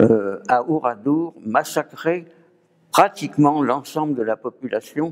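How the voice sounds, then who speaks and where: A man's fairly high voice, very slow pace and lively intonation. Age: 80s+. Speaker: war-era scout veteran. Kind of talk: testimony. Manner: measured, formal.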